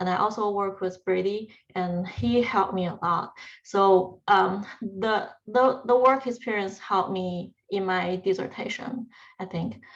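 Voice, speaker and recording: In a Chinese accent, a woman speaks at a fairly slow pace with ordinary pitch variation. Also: medium pitch for a woman. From China. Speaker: PhD student. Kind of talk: panel talk.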